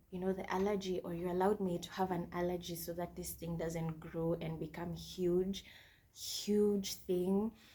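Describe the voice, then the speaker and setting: A dark, mellow tone, somewhat breathy. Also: woman. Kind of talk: testimony.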